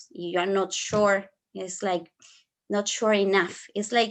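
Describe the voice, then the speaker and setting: A woman is speaking. She has an Argentine accent. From Argentina. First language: Spanish. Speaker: flower therapist and English teacher. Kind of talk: online workshop. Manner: halting.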